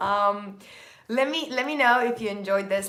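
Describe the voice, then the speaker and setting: A woman at medium pitch talks at a fairly slow pace. Room echo and noticeable background noise are audible. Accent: Turkish. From Turkey, Istanbul. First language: Turkish. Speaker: productivity content creator. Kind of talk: live stream chat. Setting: live stream. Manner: energetic.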